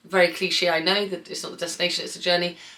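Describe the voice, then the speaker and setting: In a southern English accent, a woman talks with an animated tone. Her pitch is fairly low. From England, Bath. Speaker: artist. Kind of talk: casual Q&A vlog. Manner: chatty, animated.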